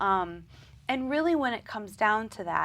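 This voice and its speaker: In a Midwestern accent, a woman with a fairly high voice speaks at a fairly slow pace. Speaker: dietitian. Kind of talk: interview.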